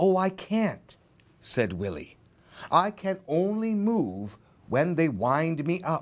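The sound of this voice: What you hear is an unforced reading voice.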